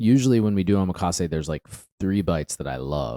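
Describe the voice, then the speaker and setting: On a very clean recording with a silent background, a man speaks with a very deep, low pitch and a dark, mellow tone, the sound dry and close with no echo. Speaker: podcast co-host. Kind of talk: casual chat. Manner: slow; many pauses.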